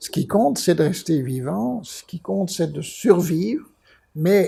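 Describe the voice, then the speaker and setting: A dark, mellow tone with lively intonation at a very slow pace. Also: man. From Belgium. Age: 70s. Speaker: art dealer. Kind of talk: interview storytelling. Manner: halting, many repetitions.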